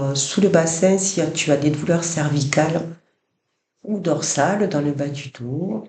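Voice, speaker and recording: Somewhat breathy male voice with a dark, mellow tone, fairly high pitch and ordinary pitch variation, at a very slow pace. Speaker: yoga nidra guide. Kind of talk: guided relaxation body scan. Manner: soft-spoken, slow.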